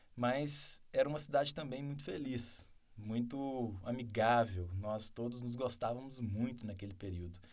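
A man with an unremarkable speaking voice talks at a moderate pace and a medium pitch, his pitch varying in an ordinary way. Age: 30s. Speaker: mayoral candidate. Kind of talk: interview.

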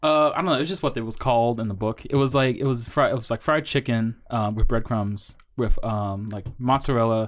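The recording is very clean, with a silent background. A man with an unremarkable speaking voice talks at a fairly quick pace with a medium pitch and ordinary pitch variation. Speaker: podcast co-host. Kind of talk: casual banter chat. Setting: studio. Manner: joking, rambling.

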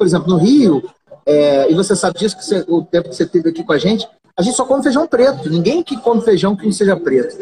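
A man with a high pitch, very wide pitch swings and a very fast pace. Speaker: podcast host. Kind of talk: casual chat. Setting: Instagram live.

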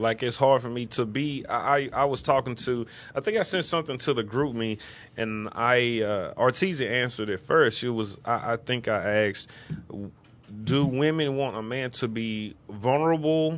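Here is an ordinary speaking voice from a man at a medium pitch. He keeps a moderate pace with ordinary pitch variation. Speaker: co-host. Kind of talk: casual chat. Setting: studio.

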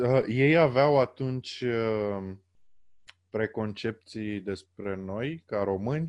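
A man of medium pitch speaks at a very slow pace with ordinary pitch variation. The background is quiet. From Romania. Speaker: podcast host. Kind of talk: interview. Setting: internet call.

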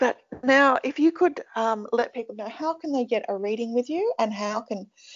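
This woman has an Australian accent and a fairly high pitch. She speaks at a moderate pace with lively intonation. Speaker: podcast host. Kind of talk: interview.

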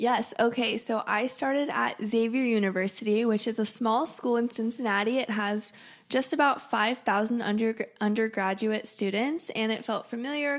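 Speaking at a moderate pace, a woman uses an ordinary speaking voice at a fairly high pitch with fairly even intonation. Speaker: college student. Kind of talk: casual chat.

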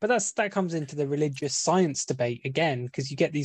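With a British accent, a man speaks in a fairly high, somewhat breathy voice against a quiet background. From Britain. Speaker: podcast co-host. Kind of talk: casual chat.

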